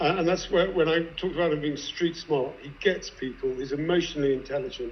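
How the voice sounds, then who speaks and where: Audible room echo surrounds a man speaking at a fairly quick pace, high in pitch with fairly even intonation. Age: 60s. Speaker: investor. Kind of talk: panel discussion.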